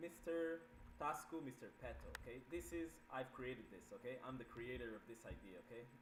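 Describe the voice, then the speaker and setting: Fairly quick speech from a man at a medium pitch with ordinary pitch variation, over noticeable background noise. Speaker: gaming streamer. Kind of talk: tutorial. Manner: fast.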